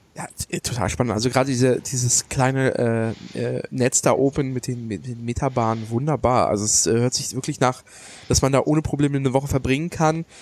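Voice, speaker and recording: At a fairly quick pace, a plain, everyday voice speaks with ordinary pitch variation. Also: man, medium pitch for a man. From Germany. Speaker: podcast host. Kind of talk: casual chat.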